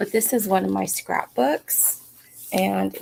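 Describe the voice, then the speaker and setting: A woman at a very slow pace. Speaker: book streamer. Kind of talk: casual chat. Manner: casual with fillers.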